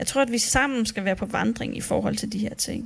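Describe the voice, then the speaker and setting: Speaking with vocal fry and ordinary pitch variation, a woman uses a fairly high pitch. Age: 30s. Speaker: church speaker. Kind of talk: sermon.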